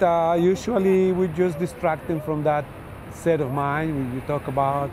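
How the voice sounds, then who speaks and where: Over noticeable background noise, a man with a fairly high pitch speaks fairly slowly in a fairly even intonation. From Colombia. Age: 60s. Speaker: bridge safety inspector. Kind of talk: interview. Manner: halting, with frequent fillers.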